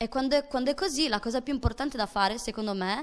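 A woman's voice with ordinary pitch variation. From Sardinia, Domus de Maria; Sardinia. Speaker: actress and theatre performer; actress. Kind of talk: interview; interview answer. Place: studio. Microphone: handheld.

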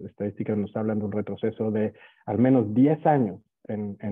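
This man's intonation stays fairly even as he talks at a moderate pace. Nothing intrudes from the quiet background. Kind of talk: webinar opening remarks. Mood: formal, measured. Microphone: earbuds.

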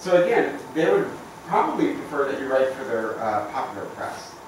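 Strong room echo and noticeable background noise surround a man talking at a fairly quick pace. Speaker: university professor presenting. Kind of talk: informal talk to colleagues. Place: meeting room. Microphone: camera far.

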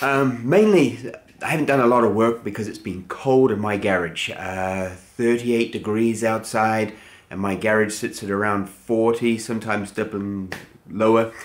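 A man at a moderate pace with fairly even intonation. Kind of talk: casual vlog chat. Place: garage.

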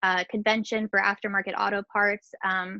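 A woman speaks with vocal fry and little pitch movement. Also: medium pitch for a woman, moderate pace, dry, close sound with no echo.

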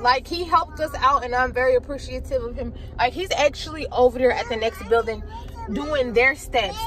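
A woman's high voice, dry with no echo, over noticeable background noise. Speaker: vlogger. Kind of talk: casual vlog chat. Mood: exasperated but upbeat. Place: car. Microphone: phone near.

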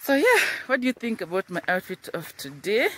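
A woman with a Kenyan accent speaks at a moderate pace with lively intonation, the sound dry with no echo and light background noise behind her. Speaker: high school teacher and vlogger; high school teacher, vlogger. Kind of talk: vlog. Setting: outdoors, walking to school. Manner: casual, chatty. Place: open country. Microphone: phone near.

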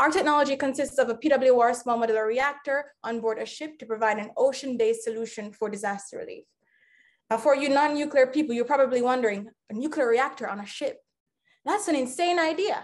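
A woman with a high voice talks at a fairly quick pace, her pitch varying in an ordinary way while her loudness swings widely. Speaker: startup founder pitching. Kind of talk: startup pitch presentation. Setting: video call. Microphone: webcam.

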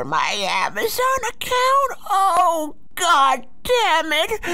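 An extremely high-pitched, put-on character voice moves at a very slow pace. Noticeable background noise runs underneath.

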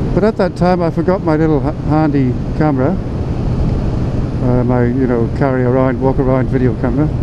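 Loud background noise behind a man talking at a moderate pace. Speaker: motorcycle vlogger. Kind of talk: casual vlog chat. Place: motorbike. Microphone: helmet.

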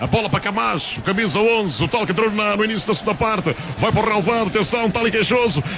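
A man at a very fast pace with hardly any pauses, high pitch, ordinary pitch variation and very even loudness, over noticeable background noise. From Portugal. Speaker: radio football commentator, play-by-play. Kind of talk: live football commentary, goal call. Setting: radio broadcast from stadium. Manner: extremely excitable, shouting, repeating names. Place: stadium.

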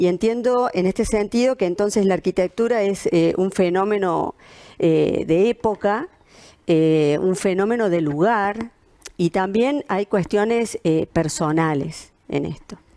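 A woman with a dark, mellow tone talks at a very slow pace with ordinary pitch variation over a quiet background. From Argentina. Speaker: architect. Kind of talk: presentation. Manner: halting, many fillers. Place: home room.

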